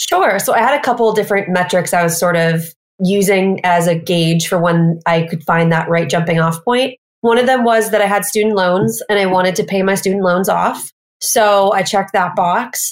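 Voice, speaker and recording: A woman with a normal speaking voice talks at a medium pitch and a moderate pace, with ordinary pitch variation and very even loudness. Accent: American. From US Midwest, Missouri. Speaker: e-commerce business founder. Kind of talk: interview.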